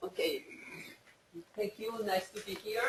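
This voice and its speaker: A woman with a Spanish accent at a moderate pace. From Colombia. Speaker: veterinary scientist. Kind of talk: dedication speech. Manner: halting.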